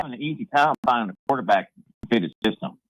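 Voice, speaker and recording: Very wide pitch swings and vocal fry mark a man's speech, delivered at a moderate pace. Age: 60s. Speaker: sports radio caller. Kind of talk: sports talk radio call.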